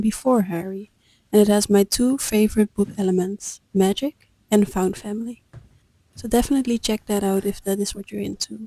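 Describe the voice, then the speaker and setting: This woman has a medium pitch, a dark, mellow tone and a Dutch accent, speaking at a fairly quick pace. Her tone is calm, her intonation fairly even, and the sound is dry and close with no echo. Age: 20s. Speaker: vlogger. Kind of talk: scripted narration.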